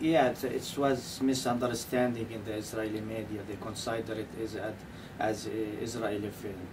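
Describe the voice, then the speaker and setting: A man with a Palestinian accent and fairly even intonation, amid noticeable background noise and audible room echo. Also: medium pitch for a man, moderate pace. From Palestine (West Bank village). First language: Arabic. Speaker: documentary filmmaker. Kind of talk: radio interview. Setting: radio studio. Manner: halting, many fillers and repeats.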